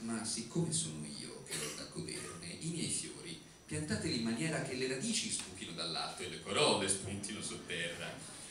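A man speaks at a moderate pace with very wide pitch swings, over noticeable background noise and audible room echo. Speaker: writer. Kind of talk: poetry reading. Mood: ironic, theatrical. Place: stage.

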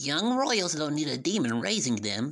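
Using a cartoonish character voice, a woman talks at a moderate pace with a low pitch and big pitch swings.

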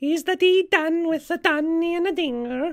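At a moderate pace, this put-on character voice rings out at an extremely high pitch. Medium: comedy sketch. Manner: impatient.

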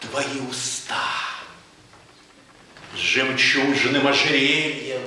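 A man is speaking. There is strong room echo around his voice. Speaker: poetry reader. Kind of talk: poetry reading. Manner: passionate.

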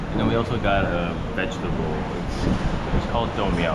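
The speech moves at a moderate pace. Loud background noise runs underneath. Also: man. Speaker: food vlogger. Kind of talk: casual vlog chat. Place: cafe. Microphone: phone near.

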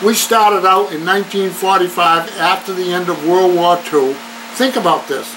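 A man's fairly slow speech is heard through noticeable background noise. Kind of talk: interview answer. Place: office. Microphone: camera far.

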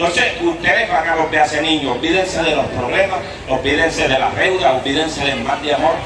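Noticeable background noise and audible room echo fill this clip. A man speaks at a very fast pace. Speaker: folk storyteller comedian. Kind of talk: comic storytelling performance. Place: stage.

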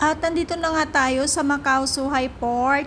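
A woman speaks in a high voice. Noticeable background noise runs underneath. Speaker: vlogger and domestic helper in Hong Kong. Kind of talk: casual travel vlog. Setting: outdoors on a trip.

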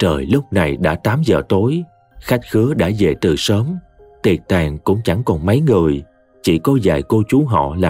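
Text read out plainly

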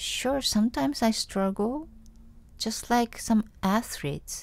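With a Japanese accent, a woman speaks at a fairly slow pace. Her fairly high voice has lively intonation. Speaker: singer. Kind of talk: casual chat.

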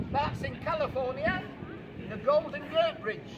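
Over noticeable background noise, a man speaks at an extremely high pitch. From England, UK. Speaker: street preacher. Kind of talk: street preaching to passers-by, quiz-style. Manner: jovial, folksy, projecting to a crowd. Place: street.

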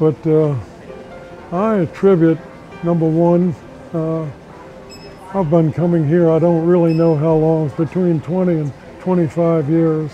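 Over faint music in the background, a man speaks fairly slowly with long, frequent pauses and fairly even intonation, in a dry sound with no echo. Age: 80s+. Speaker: YMCA member. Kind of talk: interview answer. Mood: calm, reflective. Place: gym. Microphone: lapel.

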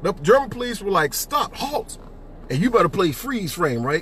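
With light background noise, a man speaks at a moderate pace. His animated tone swings very widely in pitch. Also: dry sound with no echo. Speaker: executive director of a civic advocacy group. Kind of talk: casual livestream commentary. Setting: Facebook Live from a car while driving. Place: car. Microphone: phone near.

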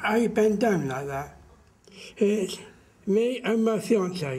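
A man's high-pitched voice, very slow, with lively intonation. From Somerset, England. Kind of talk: interview answer. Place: garden.

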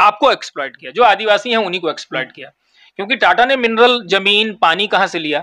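A man projects his voice in a raised, bright, sharp tone with lively intonation. He keeps a moderate pace over a quiet background. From Jharkhand, India. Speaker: lawyer; interviewee. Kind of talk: interview. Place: office. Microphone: handheld.

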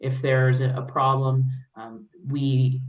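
The room echo is audible around a woman's very deep, low voice. She speaks in a flat monotone. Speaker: oversight board member. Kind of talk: virtual public meeting discussion. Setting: video call. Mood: concerned, questioning. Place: home room. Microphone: video call.

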